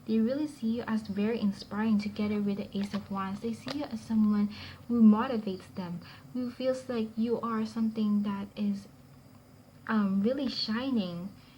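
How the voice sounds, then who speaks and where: Somewhat breathy and dark, mellow in tone, a woman's fairly high voice keeps a fairly even intonation at a moderate pace. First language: not English. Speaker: tarot reader. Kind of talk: tarot reading to camera. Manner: halting, with fillers; stutters at times.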